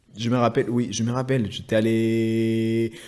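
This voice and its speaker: Talking at a very slow pace, a man with a Spanish accent has a medium pitch. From Chile. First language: Spanish (speaking French). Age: 30s. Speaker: engineer. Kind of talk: interview. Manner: halting.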